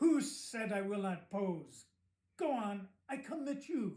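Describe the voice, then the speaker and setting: A man puts on a gruff character voice with a German accent. His pitch sits high. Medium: read story. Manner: gruff, blustering.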